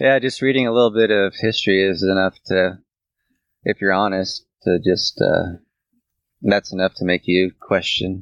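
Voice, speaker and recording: In a plain, everyday voice, the speaker keeps a moderate pace and fairly even intonation, recorded dry and close with no echo. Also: man, fairly low pitch for a man. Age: 30s. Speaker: podcast co-host. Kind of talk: casual chat.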